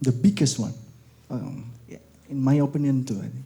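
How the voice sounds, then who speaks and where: In a dark, mellow tone, a somewhat breathy man speaks at a moderate pace. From Indonesia, East Java. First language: Indonesian. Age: young. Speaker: lecturer. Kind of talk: lecture. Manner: halting.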